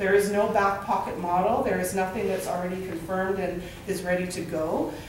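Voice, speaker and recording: The pace is fairly quick. Light background noise and audible room echo come through. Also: woman. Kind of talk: presentation to a group. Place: meeting room. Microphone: camera far.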